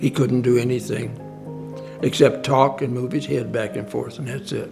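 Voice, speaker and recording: Music plays in the background as a man talks at a medium pitch and a moderate pace with ordinary pitch variation. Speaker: father of late client. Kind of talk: interview answer.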